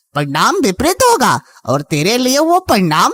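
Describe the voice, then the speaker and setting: A cartoonish character voice sits at a fairly high pitch. It moves at a fairly slow pace. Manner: calm, reassuring.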